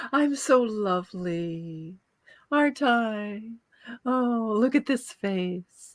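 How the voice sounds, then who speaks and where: This female-sounding voice is a put-on character voice, pitched fairly high and delivered at a very slow pace. The recording is very clean with a silent background. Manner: vain, sugary.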